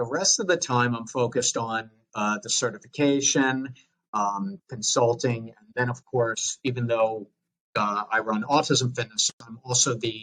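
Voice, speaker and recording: A man speaks with a Long Island accent. His pace is fairly slow, with ordinary pitch variation. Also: medium pitch for a man. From US Northeast, Long Island, New York. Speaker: fitness coach and educator. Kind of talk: podcast interview. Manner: hesitant with fillers.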